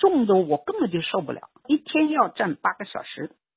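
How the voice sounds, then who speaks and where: Very wide pitch swings in a woman's voice. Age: 80s+. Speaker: retired professional and former political prisoner. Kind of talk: interview testimony.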